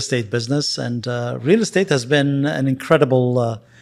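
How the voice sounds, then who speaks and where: With a Lebanese accent, a man talks at medium pitch with ordinary pitch variation. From Lebanon. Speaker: real estate investor and agent. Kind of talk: interview. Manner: halting.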